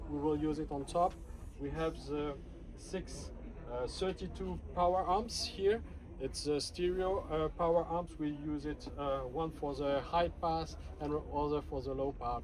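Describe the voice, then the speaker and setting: Speaking at a fairly slow pace with a French accent, a man is heard with audible room echo. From France. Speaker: audio product presenter. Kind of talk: product demonstration. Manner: halting.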